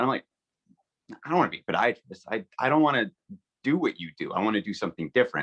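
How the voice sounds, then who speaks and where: Delivered at a very fast pace yet with long, frequent pauses, the speech has very wide pitch swings and vocal fry, in a dry, close sound with no echo. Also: man, medium pitch for a man. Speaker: business owner. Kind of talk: webinar panel discussion. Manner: halting, many fillers.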